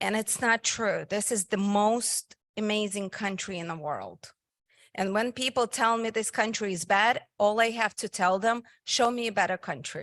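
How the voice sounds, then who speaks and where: A woman with a strong Russian accent speaks at a moderate pace and a fairly high pitch, with ordinary pitch variation. The sound is dry and close with no echo, over a quiet background. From Soviet Union (Russia). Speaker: physical therapist and nonprofit founder. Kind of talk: invited talk. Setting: meeting hall with live audience.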